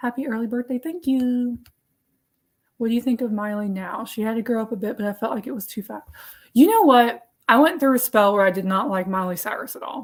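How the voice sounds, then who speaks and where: A woman with a Tennessee accent speaks at a fairly quick pace and a fairly high pitch. Her loudness swings widely. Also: ordinary pitch variation. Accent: Tennessee Southern. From US South, Nashville, Tennessee. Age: 20s. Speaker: artist standing in as live stream host. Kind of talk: casual live stream chat.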